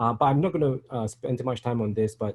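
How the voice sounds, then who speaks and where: This man speaks with a Singaporean accent. His tone is dark and mellow. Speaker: software engineer, conference speaker. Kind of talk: conference talk. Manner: halting, many fillers.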